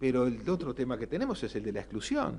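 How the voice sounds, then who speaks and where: A man speaks with a Uruguayan accent. His pitch swings very widely. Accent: Rioplatense Spanish (Uruguayan). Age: 60s. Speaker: economist, panelist. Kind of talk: panel talk. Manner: hesitant, many fillers.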